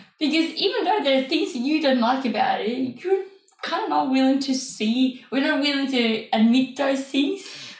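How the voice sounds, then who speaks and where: A woman speaks at a moderate pace in a high voice with lively intonation. Noticeable background noise runs beneath her. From Denmark.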